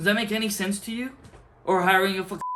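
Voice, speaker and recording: Noticeable background noise surrounds a man speaking in an animated, angry tone. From outside the US. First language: not English. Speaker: community college student, vlogger. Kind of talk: rant vlog.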